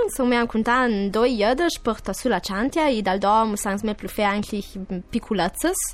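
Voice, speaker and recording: At a medium tempo, this woman uses an ordinary speaking voice set fairly high in pitch. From Urtijëi, Val Gardena, South Tyrol, Italy. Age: 20s. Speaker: singer. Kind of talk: radio interview. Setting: studio.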